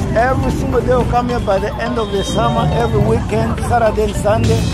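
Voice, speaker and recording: A man's voice, dry with no echo, over loud music in the background. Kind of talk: casual conversation. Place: street. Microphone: phone near.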